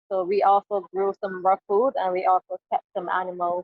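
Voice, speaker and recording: With a Barbadian accent, a woman speaks at a medium pitch and a fairly slow pace. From Barbados. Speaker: climate advocate. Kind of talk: interview.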